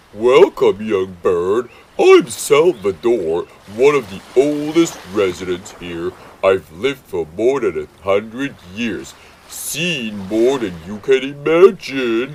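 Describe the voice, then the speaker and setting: In a put-on character voice, a man talks at a fairly slow pace and a medium pitch. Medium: read story. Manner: slow, measured, wise.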